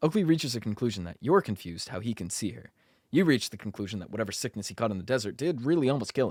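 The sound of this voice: The clip features an unforced reading voice. The intonation is lively.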